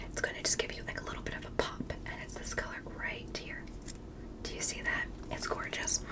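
A woman speaks at a fairly quick pace. Loud background noise fills the recording. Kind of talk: ASMR roleplay chat. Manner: soft-spoken, close, hushed ASMR voice. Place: home room.

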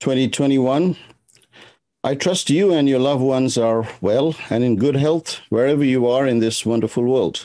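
This man's tone is dark and mellow, with ordinary pitch variation and very even loudness. He talks at a moderate pace against a quiet background. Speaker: symposium host. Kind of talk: formal welcome speech. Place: home room. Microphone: webcam.

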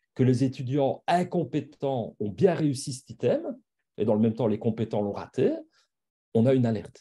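Somewhat breathy, a man speaks with lively intonation and a dark, mellow tone. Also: quiet background. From Belgium. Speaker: university professor and assessment specialist; university professor. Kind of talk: lecture. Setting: video call. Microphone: video call.

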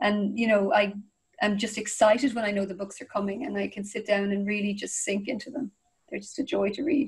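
A woman speaks at a fairly quick pace with an Irish accent. The background is quiet. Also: ordinary pitch variation. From Ireland. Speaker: crime fiction author. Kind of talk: interview answer. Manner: enthusiastic, casual. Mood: warm, enthusiastic. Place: home room. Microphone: video call.

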